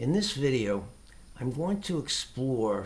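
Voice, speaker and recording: At a very slow pace, a man speaks with lively intonation in a somewhat breathy voice. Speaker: tai chi teacher. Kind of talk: casual talk to camera. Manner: hesitant.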